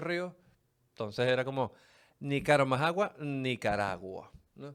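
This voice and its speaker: With a Venezuelan accent and lively intonation, a man speaks in a medium pitch on a very clean recording with a silent background. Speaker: podcast host. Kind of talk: casual podcast monologue. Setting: studio. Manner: animated, colloquial.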